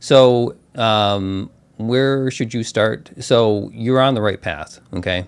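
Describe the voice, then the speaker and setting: Using a very slow pace, a man with an American accent speaks at a medium pitch with ordinary pitch variation. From US Midwest, Chicago. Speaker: tech YouTuber, solutions architect. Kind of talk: live stream Q&A chat. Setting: live stream. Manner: casual with many fillers.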